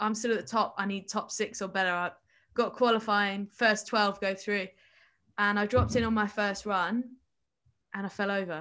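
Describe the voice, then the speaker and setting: On a very clean recording with a silent background, a woman with a southern English accent speaks at a medium pitch and moderate pace, with fairly even intonation and long, frequent pauses. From England, Kent. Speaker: Olympic snowboarder. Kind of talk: casual interview.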